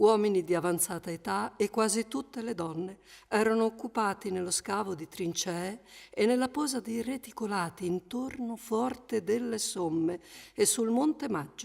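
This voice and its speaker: On a very clean recording with a silent background, a woman speaks at a moderate pace. She has a normal speaking voice, fairly high in pitch, with ordinary pitch variation. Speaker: voice-over reader. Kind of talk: documentary reading of wartime letters.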